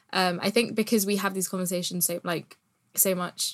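Fairly quick and fairly even in intonation, a woman speaks in a British accent. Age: 20s. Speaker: poet and geography student. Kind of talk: casual chat.

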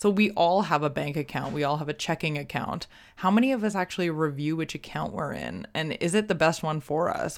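In a very clean recording with a silent background, a woman with an ordinary speaking voice talks at a fairly quick pace and fairly low pitch with lively intonation. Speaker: podcast host. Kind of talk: casual interview chat. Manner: chatty, rambling.

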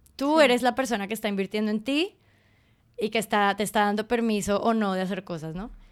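On a very clean recording with a silent background, a woman with a fairly high voice speaks very fast with ordinary pitch variation. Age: 30s. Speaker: podcast host and art student. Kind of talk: casual chat. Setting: dining table at home.

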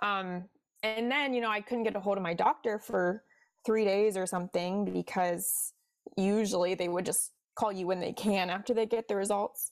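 The speaker has a Midwestern accent and fairly even intonation at a moderate pace. The recording is very clean, with a silent background. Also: woman, medium pitch for a woman. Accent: general Midwestern American. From US Midwest, Cincinnati, Ohio. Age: 20s. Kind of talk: casual interview chat.

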